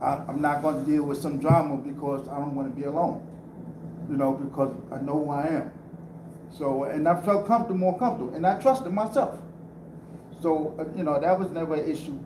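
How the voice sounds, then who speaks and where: A man's fairly high voice at a fairly quick pace, with ordinary pitch variation and long, frequent pauses, amid noticeable background noise and audible room echo. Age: 60s. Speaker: panel speaker sharing life story. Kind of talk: testimony. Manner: halting.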